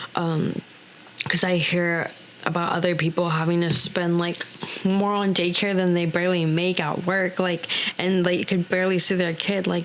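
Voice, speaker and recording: A woman with an American accent, speaking in a flat monotone at a moderate pace, over noticeable background noise. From Texas. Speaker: returning podcast guest, young mother. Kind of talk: casual chat. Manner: halting, many fillers.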